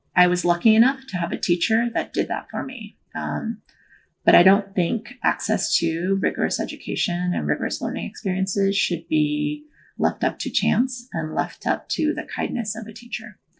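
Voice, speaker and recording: The speaker has a Korean accent and keeps a moderate pace. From born in Korea, moved to the US at nine, grew up partly in Ohio. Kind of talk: interview. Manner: casual, many filler words.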